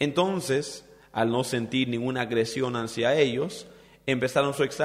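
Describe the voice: Simple, plain reading aloud.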